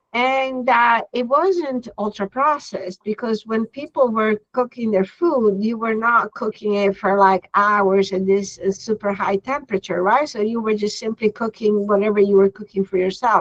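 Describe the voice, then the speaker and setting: A woman speaks with an Italian accent. The sound is dry and close, with no echo. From Italy. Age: 60s. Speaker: veterinary dermatologist. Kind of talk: lecture. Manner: halting.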